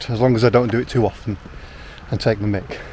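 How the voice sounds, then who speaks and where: A man with a northern English accent, medium pitch, fairly even intonation, and noticeable background noise. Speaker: outdoor vlogger. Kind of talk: vlog narration. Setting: outdoors. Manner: fast.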